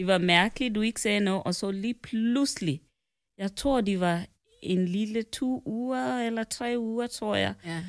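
The recording is very clean, with a silent background. The speaker talks at a fairly slow pace. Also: woman. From Kenya. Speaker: host's mother. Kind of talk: casual chat. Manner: formal.

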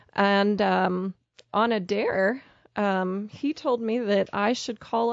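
With an American accent, an ordinary speaking voice shows ordinary pitch variation. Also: woman. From Pennsylvania, Pittsburgh area. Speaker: charity program director. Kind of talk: interview.

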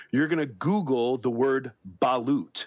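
Medium in pitch, this man has an unremarkable speaking voice and ordinary pitch variation. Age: 40s. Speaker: podcast co-host. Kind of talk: casual chat. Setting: video recording.

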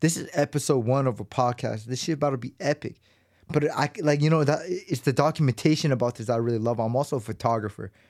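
On a very clean recording with a silent background, a man with an American accent speaks very fast with ordinary pitch variation. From Los Angeles, US West Coast. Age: 30s. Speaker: podcast host. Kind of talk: casual monologue. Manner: casual, slangy.

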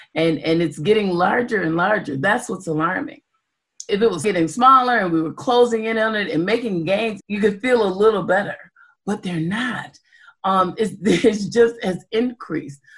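A woman talks at a medium pitch with an American accent. Music plays in the background. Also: ordinary pitch variation, moderate pace. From Evanston, Illinois, US Midwest. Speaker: community advocate. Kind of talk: interview.

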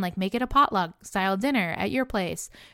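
The voice moves at a fairly quick pace with very wide pitch swings. The recording is very clean with a silent background and a dry, close sound with no echo. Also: woman. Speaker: podcast host. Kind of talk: solo podcast advice talk. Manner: fast; casual, filler-heavy.

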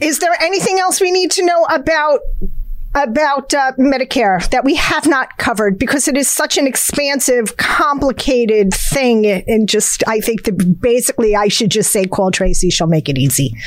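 Over noticeable background noise, a woman with a New Jersey accent speaks at a high pitch with very wide pitch swings. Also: moderate pace, very even loudness. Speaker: podcast co-host. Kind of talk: casual interview.

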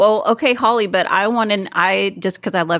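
Her sound is dry and close with no echo: a woman with a plain, everyday voice speaking at a moderate pace with ordinary pitch variation. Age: 40s. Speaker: podcast host. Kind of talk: casual chat.

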